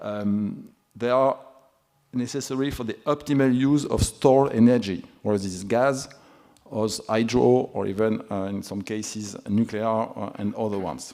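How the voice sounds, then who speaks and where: This man speaks with a Toulouse accent at a moderate pace. His pitch is medium, with ordinary pitch variation. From France, Toulouse. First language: French. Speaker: energy regulator panelist. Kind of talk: conference panel talk. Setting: conference. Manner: halting, many fillers.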